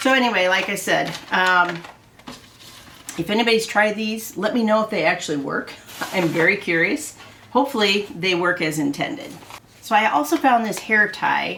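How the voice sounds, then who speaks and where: A woman with a Midwestern US accent, medium pitch, lively intonation, moderate pace, and long, frequent pauses. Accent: US Midwest. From Iowa. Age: 60s. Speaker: haul video creator. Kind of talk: casual haul vlog. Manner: chatty, hesitant with fillers.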